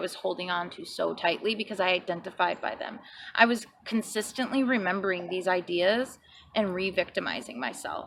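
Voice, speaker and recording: A woman talks at a fairly quick pace, her medium-pitched voice varying in an ordinary way. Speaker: psychic reader and vlogger. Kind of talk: personal testimony. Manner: casual, hesitant with fillers.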